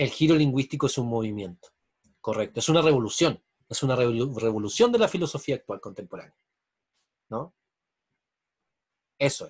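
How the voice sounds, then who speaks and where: Somewhat breathy, a man speaks at a medium pitch and fairly quick pace with lively intonation. His loudness swings widely, and he leaves long, frequent pauses. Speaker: university lecturer. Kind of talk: online lecture.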